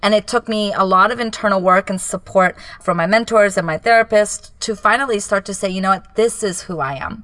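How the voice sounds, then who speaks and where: Bright, sharp speech in a Japanese accent at a fairly quick pace with hardly any pauses. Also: woman, medium pitch for a woman, ordinary pitch variation. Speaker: business coach. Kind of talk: casual chat. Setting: home closet recording.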